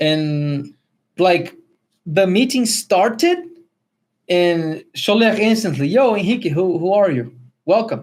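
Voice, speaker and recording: The speaker talks at a very slow pace with a Spanish accent, leaving long, frequent pauses. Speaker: podcast co-host. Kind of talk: testimony. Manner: halting.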